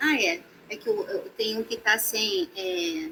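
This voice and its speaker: Very wide pitch swings run through the speech. The voice belongs to a woman. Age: 60s. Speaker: massage therapist. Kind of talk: online talk. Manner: halting.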